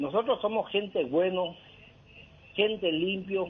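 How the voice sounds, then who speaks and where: High-pitched man at a fairly slow pace. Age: 60s. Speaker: caller. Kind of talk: phone-in opinion. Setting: phone call. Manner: agitated, emphatic.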